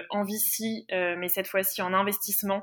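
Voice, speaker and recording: Speaking at a fairly slow pace, a woman with a medium pitch has a bright, sharp tone and monotone, flat intonation. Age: 20s. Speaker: intern and master's student. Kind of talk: interview.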